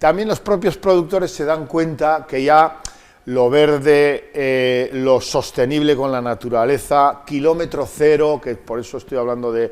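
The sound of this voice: A man with a fairly high pitch and a clear, smooth tone, fairly slow in pace, with few pauses and fairly even intonation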